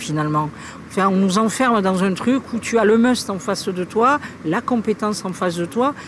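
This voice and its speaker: A woman talks in an ordinary speaking voice at medium pitch. Her pace is fairly slow, with ordinary pitch variation. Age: 50s. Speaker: local politician. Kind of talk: recorded interview.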